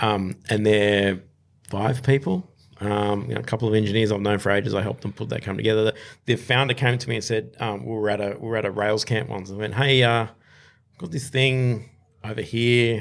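At a fairly quick pace, a man with an Australian accent talks at a fairly low pitch with fairly even intonation. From Australia, southwest Sydney. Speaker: startup investor. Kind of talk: interview. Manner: halting, many fillers.

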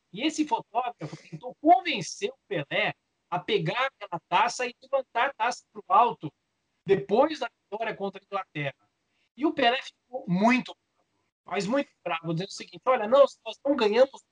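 Loudness swings widely as a man speaks at a high pitch and moderate pace with lively intonation, in a dry, close sound with no echo. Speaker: sports journalist and author. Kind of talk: interview.

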